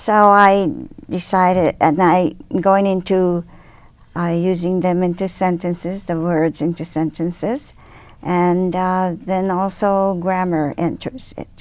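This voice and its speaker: Someone with a Japanese accent speaks at a very slow pace with fairly even intonation. The background is quiet. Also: woman, medium pitch for a woman. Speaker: speech therapist. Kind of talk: interview. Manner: halting.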